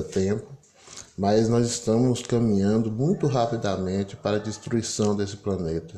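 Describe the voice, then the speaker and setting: This man's voice has a dark, mellow tone, a fairly low pitch and ordinary pitch variation. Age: 50s. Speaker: political commentator. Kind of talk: solo commentary monologue.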